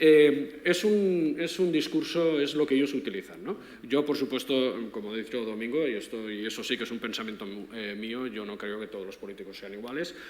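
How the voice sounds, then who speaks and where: Amid noticeable background noise, a man with a medium pitch talks at a fairly quick pace with lively intonation and big swings in loudness. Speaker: philosophy professor. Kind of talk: panel discussion. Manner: fast.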